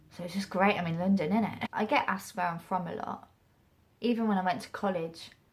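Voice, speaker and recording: A woman talks at a fairly low pitch with fairly even intonation. Noticeable background noise runs under her voice. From England, Stamford (Lincolnshire). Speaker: actress and acting vlogger. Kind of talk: casual vlog talk. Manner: casual, halting with restarts.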